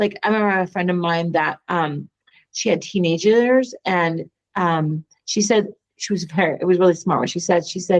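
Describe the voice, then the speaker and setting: At a moderate pace, an ordinary speaking voice comes through with ordinary pitch variation. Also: woman, fairly low pitch for a woman. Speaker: podcast co-host. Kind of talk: casual chat.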